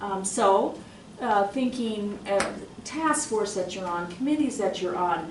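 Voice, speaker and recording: Lively intonation colors a woman's medium-pitched voice at a fairly slow pace. Audible room echo and noticeable background noise are present. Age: 60s. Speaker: university administrator. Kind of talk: audience comment at panel discussion.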